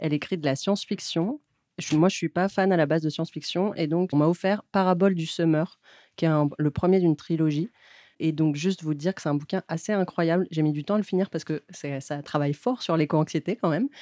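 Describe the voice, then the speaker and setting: Recorded with a dry, close sound and no echo, a woman with a normal speaking voice talks at a fairly quick pace in a fairly low pitch, with ordinary pitch variation. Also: very clean recording, silent background. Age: 30s. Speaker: radio co-host. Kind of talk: casual radio chat. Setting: radio studio.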